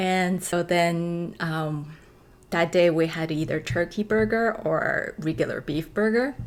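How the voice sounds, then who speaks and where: A woman's fairly low voice with a Chinese accent. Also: ordinary pitch variation, fairly slow pace. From China. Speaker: actress. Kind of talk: casual storytelling vlog. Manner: hesitant, many fillers.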